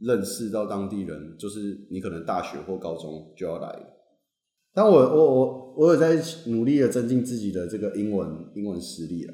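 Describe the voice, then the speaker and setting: A man with a fairly low pitch and a dark, mellow tone speaks at a moderate pace with lively intonation and big swings in loudness, audible room echo around him. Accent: Taiwanese. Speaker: graduate student. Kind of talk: casual chat.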